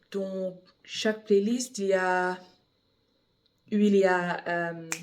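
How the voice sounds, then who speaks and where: At a very slow pace, a woman with a non-native accent speaks in a medium pitch with fairly even intonation. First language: English (speaking French). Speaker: bible reader. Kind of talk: reading aloud; casual chat. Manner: halting, repeats words.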